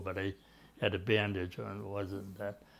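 A man speaks at a fairly slow pace in an Eastern New England accent against a quiet background. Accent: Eastern New England American. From Natick, Massachusetts; Massachusetts. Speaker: Army veteran. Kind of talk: oral history interview answer. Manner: hesitant, conversational. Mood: calm reminiscing. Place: home room. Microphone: lapel.

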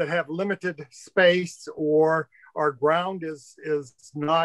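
Here a man speaks with a high pitch and fairly even intonation. The sound is dry with no echo, and the background is quiet. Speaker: remote guest. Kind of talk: interview answer. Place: home room. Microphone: webcam.

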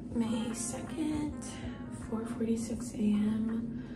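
A woman speaks with clear music in the background. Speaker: expectant mother vlogger. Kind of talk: casual vlog chat. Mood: emotional, anticipating birth. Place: home room. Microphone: phone near.

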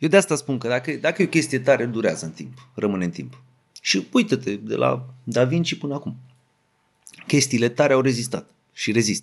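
With vocal fry and lively intonation, a man of medium pitch speaks at a fairly quick pace. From Romania, Craiova (Oltenia). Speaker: rapper. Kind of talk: casual chat.

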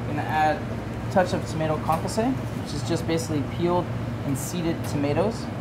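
Loud background noise sits behind a man who talks very fast. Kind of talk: cooking demonstration. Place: kitchen. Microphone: lapel.

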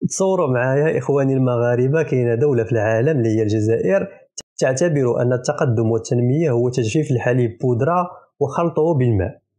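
A man speaks at a moderate pace in a dark, mellow tone, with medium pitch, ordinary pitch variation and very even loudness. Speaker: political commentator. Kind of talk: mocking political commentary. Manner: animated.

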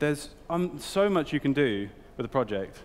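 With a British accent, a man is speaking. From UK. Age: 20s. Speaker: art director. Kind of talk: talk to an audience. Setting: stage with audience. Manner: hesitant, filler-heavy. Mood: casual, humorous. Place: hall.

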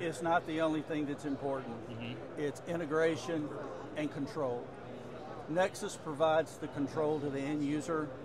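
Noticeable background noise runs through the clip. Over it, a man speaks at a moderate pace. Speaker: company sales executive. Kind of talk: interview answer. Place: hall. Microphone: lapel.

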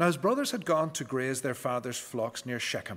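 The man's speech moves along at a moderate speed. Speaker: preacher or scripture reader. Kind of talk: scripture reading. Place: church.

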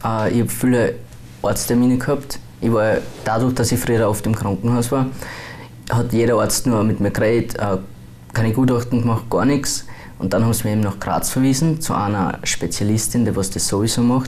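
At a moderate pace, a man talks with fairly even intonation and very even loudness. Long, frequent pauses break his speech over light background noise. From Austria, Bruck; Austria. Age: 20s. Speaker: transgender YouTuber; interviewee. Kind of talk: interview. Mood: calm, a bit reserved. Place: studio. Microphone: lapel.

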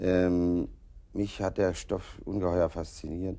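This man talks at a very slow pace, his voice very deep and low with a dark, mellow tone and vocal fry. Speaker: actor as talk show guest. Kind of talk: interview answer. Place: studio.

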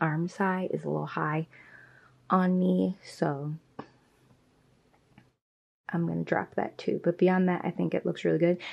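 A woman at a fairly slow pace with long, frequent pauses, music in the background. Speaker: sewing vlogger. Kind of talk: casual vlog chat. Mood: upbeat, laughing at times. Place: home room. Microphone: phone near.

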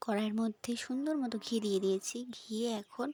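A woman's fairly high voice, dark and mellow in tone, recorded dry and close with no echo. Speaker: cooking video creator. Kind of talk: cooking tutorial. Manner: casual, chatty.

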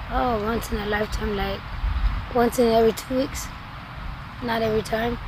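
Noticeable background noise sits behind a woman whose sound is dry, with no echo. She leaves long, frequent pauses. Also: moderate pace. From Sonora, Mexico. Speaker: homeless person in addiction. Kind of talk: interview. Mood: subdued, reflective. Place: open country. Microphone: camera far.

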